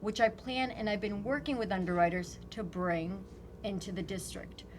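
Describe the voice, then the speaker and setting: In a room with audible echo and noticeable background noise, a woman talks at a moderate pace and medium pitch with ordinary pitch variation. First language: not English. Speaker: congressional candidate. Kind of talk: interview. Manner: animated.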